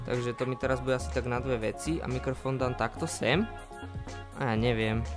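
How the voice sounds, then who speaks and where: A man talks at a moderate speed while music plays clearly behind him. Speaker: home video creator. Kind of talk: casual unboxing vlog chat. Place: home room. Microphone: studio mic.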